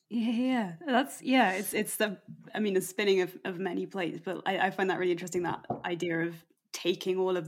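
This woman has a normal speaking voice, medium in pitch, and talks at a fairly quick pace. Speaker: podcast host. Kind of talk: casual interview chat.

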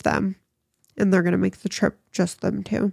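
The woman's voice, at a medium pitch, comes through in a dry, close sound with no echo. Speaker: podcast host. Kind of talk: true-crime narration. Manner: careful enunciation, self-correcting with laughs.

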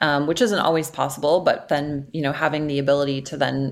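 A woman's very deep, low-pitched voice. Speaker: agency client service head. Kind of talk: interview conversation.

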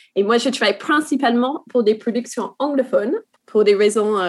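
A fairly high-pitched woman's voice with an English accent, moderate pace, ordinary pitch variation and very even loudness. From New Zealand. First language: English (speaking French). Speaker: TV series development manager. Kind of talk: work meeting conversation.

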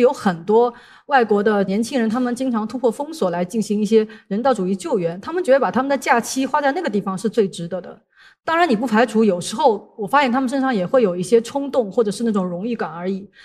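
A woman's fairly high voice at a very fast pace, with lively intonation. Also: very clean recording, silent background. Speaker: international journalist and speaker. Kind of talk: talk to an audience. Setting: stage with audience.

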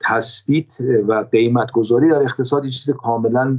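A man is speaking. His pace is moderate. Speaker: economist. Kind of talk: interview.

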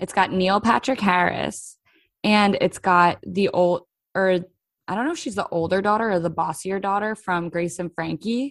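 Against a quiet background, a woman speaks in a plain, everyday voice at a moderate pace, her medium pitch showing ordinary variation. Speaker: podcast host. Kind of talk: casual chat.

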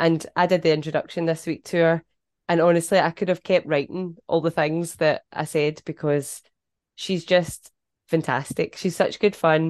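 A woman with a Scottish accent, her fairly low pitch in monotone, flat intonation at a moderate pace, in dry, close sound with no echo and a quiet background. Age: 40s. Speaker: podcast host. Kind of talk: casual chat.

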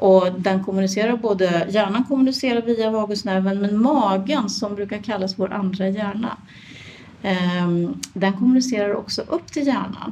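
Moderate pace and medium pitch from a woman, ordinary pitch variation, noticeable background noise behind. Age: 50s. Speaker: midwife and yoga teacher. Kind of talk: interview.

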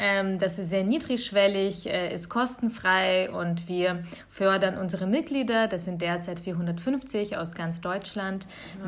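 A woman at medium pitch, very slow, with ordinary pitch variation. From Bavaria (Augsburg), Germany; born in Kyiv, Ukraine. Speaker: nonprofit network representative. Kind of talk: podcast interview.

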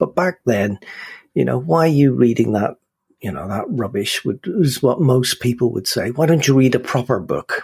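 A man with a Northern Irish accent, medium-pitched, lively in intonation, with vocal fry. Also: moderate pace. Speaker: film podcast host. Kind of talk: casual chat. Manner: animated.

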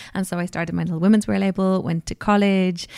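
A woman at medium pitch in an Irish accent, ordinary in pitch variation, dry and close with no echo, in a very clean recording with a silent background. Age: 30s. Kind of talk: interview. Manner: animated.

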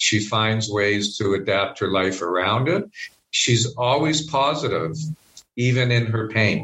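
A plain, everyday voice in a Canadian accent, fairly slow, with ordinary pitch variation and very even loudness. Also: man, medium pitch for a man. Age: 50s. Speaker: spiritual director. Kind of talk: interview conversation.

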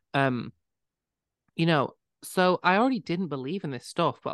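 A northwest English accent against a quiet background. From northwest England. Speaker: podcast co-host. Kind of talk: casual chat.

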